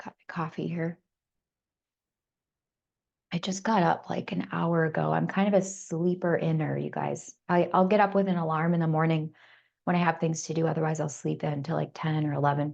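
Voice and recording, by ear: A woman with a low pitch, raspy and slightly mellow, showing vocal fry, fairly even intonation and a moderate pace.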